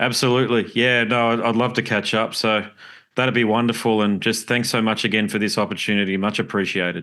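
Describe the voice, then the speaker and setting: With an Australian accent, a man delivers his words in a bright, sharp tone, monotone and flat, at a fairly quick pace over a quiet background. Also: medium pitch for a man, very even loudness. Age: 40s. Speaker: podcast host. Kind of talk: interview.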